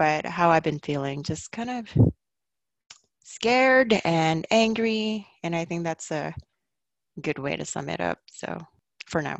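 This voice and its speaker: A woman with a fairly low pitch speaks slowly-ish with lively intonation and long, frequent pauses. The sound is dry and close with no echo, over a quiet background. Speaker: mother, community guest. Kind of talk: casual chat.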